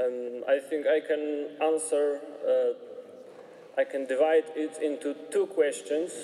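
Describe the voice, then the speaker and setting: A man speaking at a very slow pace with hardly any pauses, over noticeable background noise. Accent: Polish. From Poland. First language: Polish. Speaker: member of religious order. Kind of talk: testimony. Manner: halting.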